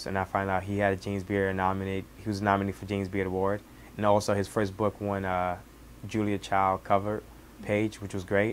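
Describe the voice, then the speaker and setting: This man talks at a very fast pace, his fairly low pitch held in a monotone, flat line. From Senegal, countryside. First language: Wolof. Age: 20s. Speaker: cook. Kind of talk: interview, personal story. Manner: halting, with many restarts.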